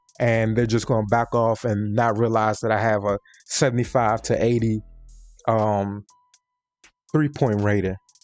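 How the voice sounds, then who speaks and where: The speaker uses monotone, flat intonation with very even loudness at a moderate pace. Long, frequent pauses break the speech, and music plays in the background. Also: man, medium pitch for a man. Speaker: gaming YouTuber. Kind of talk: tutorial. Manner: halting, self-correcting; casual.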